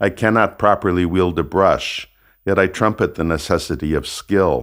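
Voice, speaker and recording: A man talks in a very deep, low voice with vocal fry, ordinary pitch variation and very even loudness. The recording is very clean, with a silent background. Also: moderate pace. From United States. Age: 70s. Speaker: author reading his own book. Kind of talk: audiobook reading of a personal memoir.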